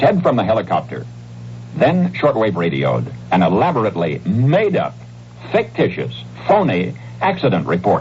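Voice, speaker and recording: A man's very deep, low voice at a moderate pace, with very wide pitch swings and noticeable background noise. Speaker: radio news commentator. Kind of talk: radio news commentary.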